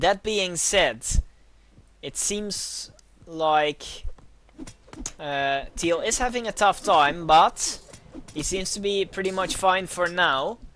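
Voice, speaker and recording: The speaker talks at a very slow pace with a Dutch accent. Long, frequent pauses break up the speech. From Netherlands. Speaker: video game caster. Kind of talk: live commentary. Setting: livestream.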